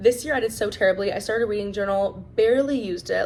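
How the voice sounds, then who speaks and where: Here a woman talks at a very fast pace. Her tone is animated. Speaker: book vlogger. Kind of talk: casual chat.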